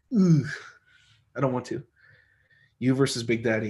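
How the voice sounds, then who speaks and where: A man speaks fairly quickly in a somewhat breathy voice. His pitch varies in an ordinary way. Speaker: arm wrestler and livestream host. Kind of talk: casual livestream chat reading viewer comments. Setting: live stream from home.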